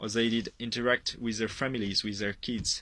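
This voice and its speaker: Bright and sharp in tone, a man speaks at a medium pitch with a French accent. His intonation is fairly even, and the recording is very clean with a silent background. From France. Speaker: product user giving testimonial. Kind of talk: testimony. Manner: hesitant, with fillers.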